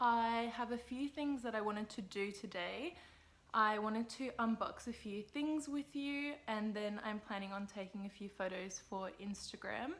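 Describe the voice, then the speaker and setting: A woman speaks with an Australian accent at a moderate pace. Her pitch is fairly high, with ordinary pitch variation. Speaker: lifestyle vlogger. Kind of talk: casual vlog. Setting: at home. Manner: soft-spoken.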